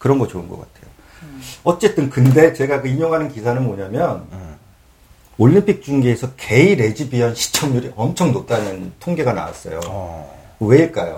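At a moderate pace, a man of medium pitch uses a dark, mellow tone with vocal fry, very wide pitch swings and big swings in loudness. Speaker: broadcast coordinator and real estate agent. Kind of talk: casual chat.

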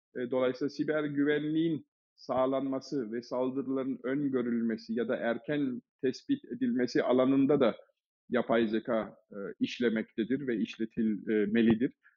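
Fairly even intonation from a man at medium pitch and moderate pace. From Germany. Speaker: management consultant and AI initiative founder. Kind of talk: podcast interview. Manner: many filler hesitations.

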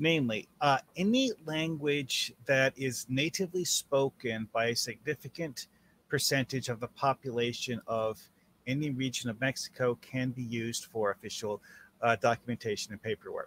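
Here is a man with an unremarkable speaking voice at a medium pitch. He talks at a moderate pace with ordinary pitch variation, and the sound is dry and close with no echo. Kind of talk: casual chat. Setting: video call.

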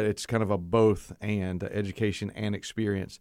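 A man speaks with a Southern US accent at a fairly low pitch and with fairly even intonation. The recording is very clean, with a silent background. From coastal North Carolina. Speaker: seminary provost and preaching professor. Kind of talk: casual interview.

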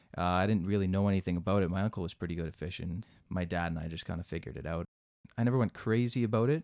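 A man with a Canadian accent speaks at a very fast pace in a very deep, low pitch. His pitch varies in an ordinary way, and the sound is dry and close with no echo. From Mississauga, Ontario, Canada. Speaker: firefighter. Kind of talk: casual interview.

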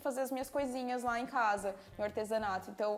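A woman has an unremarkable speaking voice. She talks at a fairly quick pace with fairly even intonation. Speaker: craft youtuber and podcast host. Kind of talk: casual chat.

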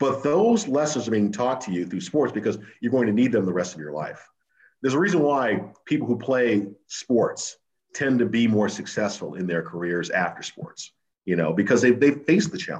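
With an American accent and a medium pitch, a man speaks at a moderate pace using very wide pitch swings. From New England (Simsbury, Connecticut). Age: 50s. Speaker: TV sports anchor. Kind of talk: casual interview.

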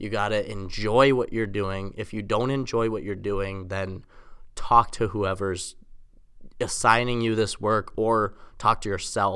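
A man with an American accent speaks at a fairly low pitch in a bright, sharp tone. His intonation stays fairly even at a fairly slow pace. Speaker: college student, former podcast host. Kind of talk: casual chat. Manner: monotone.

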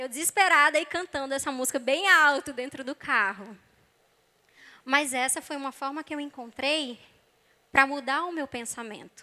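A woman speaks in a raised, projected voice, high in pitch and bright and sharp in tone, with ordinary pitch variation. Her loudness swings widely, and she takes long, frequent pauses. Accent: Brazilian. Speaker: psychologist and preacher. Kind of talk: sermon.

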